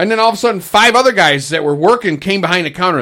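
The speaker is a man. His tone is bright and sharp. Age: 50s. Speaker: maintenance man, podcast co-host. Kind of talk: casual chat.

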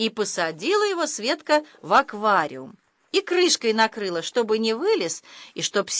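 An unforced reading voice comes over a quiet background.

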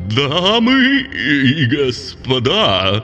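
A man puts on a character voice at a fairly high pitch, shaky and with very wide pitch swings. Music is clearly audible behind him.

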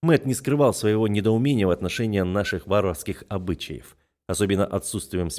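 The setting behind the voice is quiet. The words are read aloud in a natural voice.

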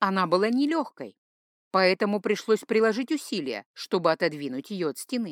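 Someone is reading aloud in a natural voice with lively intonation against a quiet background.

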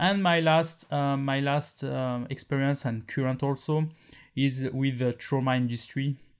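A man with a French accent and medium pitch speaks with fairly even intonation over a quiet background. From France. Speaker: podcast host, medical device expert. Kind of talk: monologue. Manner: halting.

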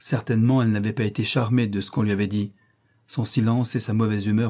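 Fairly even intonation in a natural reading voice

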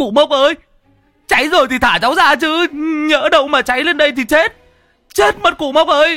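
A put-on character voice moves at a fairly quick pace with a bright, sharp tone and ordinary pitch variation. Faint music sits in the background. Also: man, extremely high pitch for a man.

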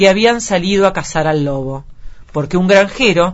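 Pitch rises and falls in an ordinary way through this unforced reading voice.

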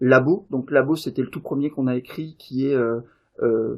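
Medium-pitched male voice at a moderate pace. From Davos. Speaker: game designer and event organiser. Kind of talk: casual interview. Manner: hesitant, many fillers.

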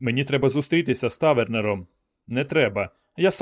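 Quiet background, natural reading voice

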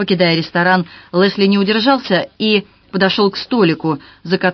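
The text is read aloud in a natural voice.

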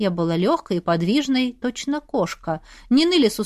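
An unforced reading voice carries lively intonation from start to finish.

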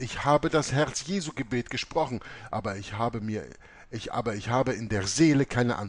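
A passage is being read. The voice is a natural reading voice.

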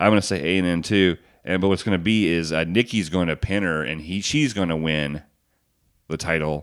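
On a very clean recording with a silent background, a man with a very deep, low pitch speaks at a fairly quick pace with ordinary pitch variation. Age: 40s. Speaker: wrestling podcast co-host. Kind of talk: casual chat.

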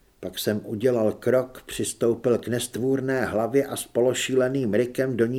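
An unforced reading voice is heard. Its intonation stays fairly even.

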